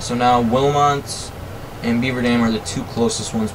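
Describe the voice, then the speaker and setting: A man speaks with flat, monotone intonation. Audible room echo and noticeable background noise surround him. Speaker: gaming youtuber. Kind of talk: gameplay commentary. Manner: casual, hesitant with fillers.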